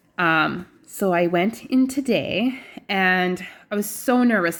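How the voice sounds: Speaking slowly with lively intonation, a woman uses a fairly low pitch.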